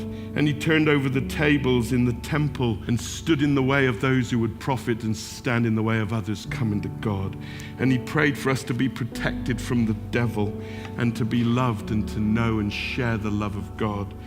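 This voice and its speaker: Man at a moderate pace with ordinary pitch variation, music in the background. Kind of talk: sermon, spoken word piece. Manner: rhythmic, building repetition.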